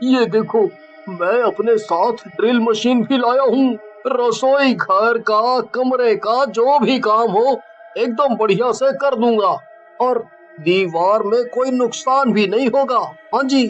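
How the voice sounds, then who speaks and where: Clear music plays in the background as a cartoonish character voice speaks at a fairly slow pace with a fairly high pitch. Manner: brash, informal.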